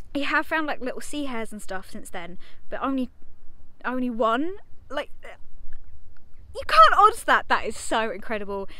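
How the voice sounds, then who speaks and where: Pausing long and often, a woman speaks at a moderate pace in a raised, projected voice, with a dry sound and no echo. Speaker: marine biologist vlogger. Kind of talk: casual vlog chat. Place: beach. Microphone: phone near.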